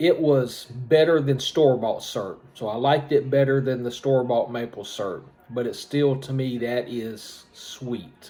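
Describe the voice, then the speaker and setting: In an American accent, this voice has a dark, mellow tone and fairly even intonation. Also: man. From US South (Georgia). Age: 60s. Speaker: homestead YouTuber. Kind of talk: casual vlog, taste test. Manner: casual, rambling with fillers.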